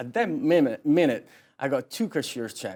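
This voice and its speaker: At a fairly quick pace, a speaker with an Italian accent makes very wide pitch swings on a very clean recording with a silent background. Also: man. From southern Italy (Naples). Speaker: realtor. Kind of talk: interview.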